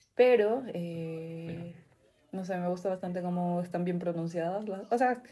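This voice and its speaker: A woman's fairly low voice, dark and mellow in tone, with big swings in loudness, a fairly slow pace and ordinary pitch variation. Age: 20s. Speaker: podcast co-host. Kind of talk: casual chat.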